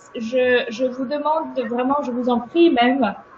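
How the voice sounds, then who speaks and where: A woman speaks at a very slow pace in a high voice with fairly even intonation. The room echo is audible and the background noise is noticeable. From Ukraine. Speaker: webinar speaker sharing her experience. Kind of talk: webinar talk and discussion.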